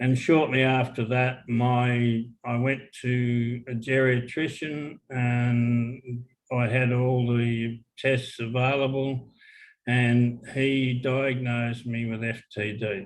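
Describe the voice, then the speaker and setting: A man in an Australian accent, monotone and flat in intonation, at a very slow pace. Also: medium pitch for a man. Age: 60s. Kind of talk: casual interview. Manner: halting, with fillers.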